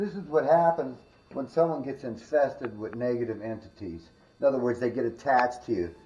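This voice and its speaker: A man's voice at a moderate pace with lively intonation. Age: 60s. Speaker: spiritualist paranormal investigator. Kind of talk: casual walkthrough commentary. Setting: indoors in a house, on camera. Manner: animated.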